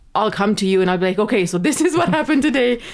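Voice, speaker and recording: Her intonation rises and falls in a lively way. The woman has a non-native accent. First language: not English. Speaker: podcast guest, host's wife. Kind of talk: casual chat.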